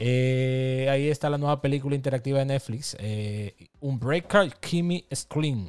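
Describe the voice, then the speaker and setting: A man talks at a fairly slow pace in a normal speaking voice. His pitch sits in the middle range and varies in an ordinary way. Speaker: podcast co-host. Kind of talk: casual chat.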